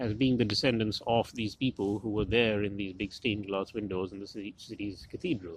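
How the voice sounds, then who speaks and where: A man's unremarkable speaking voice, fairly low in pitch with ordinary pitch variation, at a fairly quick pace with hardly any pauses. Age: middle-aged. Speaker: historian, medieval studies professor. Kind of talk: academic lecture-style monologue.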